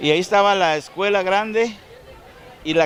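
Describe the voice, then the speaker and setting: Lively intonation from a man with a Guatemalan accent, high in pitch, over crowd noise in the background. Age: 60s. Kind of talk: oral history interview.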